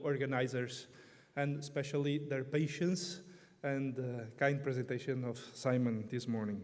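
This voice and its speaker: A man with a Portuguese accent, fairly high pitch, fairly even intonation, and audible room echo. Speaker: priest and canon law expert. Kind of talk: conference talk.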